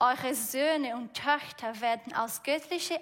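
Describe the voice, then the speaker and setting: The speaker has a Brazilian accent. Pitch varies in an ordinary way. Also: woman. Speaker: preacher. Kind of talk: sermon. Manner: halting.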